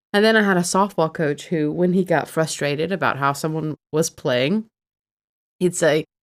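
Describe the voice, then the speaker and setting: The recording is very clean, with a silent background. A woman with a slight Southern US accent speaks at a moderate pace, her fairly low pitch showing ordinary variation. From Alabama, US South. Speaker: podcast co-host. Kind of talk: casual podcast chat. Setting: studio.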